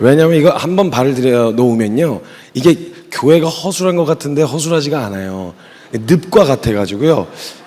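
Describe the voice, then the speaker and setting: An animated man with a fairly high pitch and lively intonation at a moderate pace, over noticeable background noise. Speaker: missionary preacher. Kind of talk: sermon. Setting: church youth retreat service.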